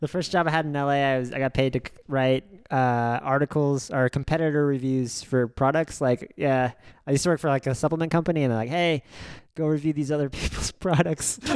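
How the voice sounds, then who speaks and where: An unremarkable speaking voice from a man, fairly high in pitch, with fairly even intonation and a fairly quick pace, on a dry, close, very clean recording with no echo and a silent background. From Oklahoma, Norman. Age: 30s. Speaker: stand-up comedian. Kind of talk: casual chat.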